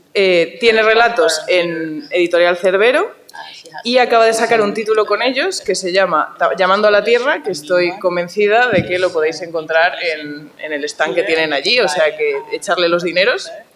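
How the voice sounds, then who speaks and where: Noticeable background noise sits under a woman's medium-pitched voice. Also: lively intonation. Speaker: panel moderator. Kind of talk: panel discussion. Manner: fast; animated.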